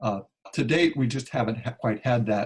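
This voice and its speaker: Speaking at a moderate pace, a man with an American accent sounds somewhat breathy, with ordinary pitch variation. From Kansas, US Midwest. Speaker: climate activist. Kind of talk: Q&A on a conference call. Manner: halting, many fillers.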